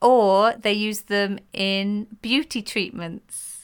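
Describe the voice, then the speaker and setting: Her intonation fairly even, a woman speaks with a British accent. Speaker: podcast co-host. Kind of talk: casual chat between mother and daughter.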